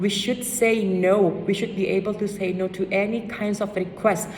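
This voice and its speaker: A woman speaks at a moderate pace. Her voice carries audible room echo over noticeable background noise. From Indonesia. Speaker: student speaker. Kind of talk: speech.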